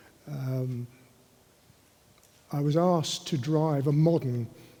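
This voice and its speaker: Somewhat breathy, a man speaks with a southern English accent. His pitch is fairly high. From London, England. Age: 80s+. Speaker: racing driver. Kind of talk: panel discussion.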